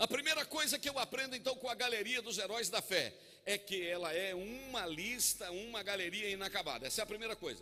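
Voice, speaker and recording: Pitched high for a man, his raised, projected voice carries an animated tone with ordinary pitch variation. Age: 50s. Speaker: pastor. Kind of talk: sermon. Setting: church.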